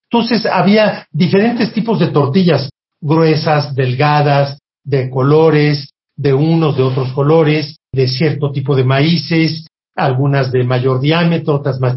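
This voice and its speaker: A man at a very slow pace, fairly high in pitch, somewhat breathy, with ordinary pitch variation and very even loudness. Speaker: food historian. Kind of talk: interview.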